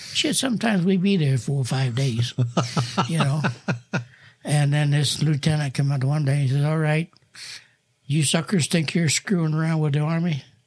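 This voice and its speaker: With an American accent and a fairly high pitch, a man sounds somewhat breathy, holding very even loudness at a moderate pace with long, frequent pauses and ordinary pitch variation in a very clean recording over a silent background. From US Northeast, New Jersey. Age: 90s. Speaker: retired air force veteran. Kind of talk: oral history interview.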